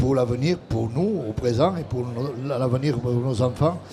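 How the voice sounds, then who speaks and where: Noticeable background noise runs under a man speaking at a moderate pace with ordinary pitch variation. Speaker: trade federation president. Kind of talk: panel discussion. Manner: hesitant, with repetitions.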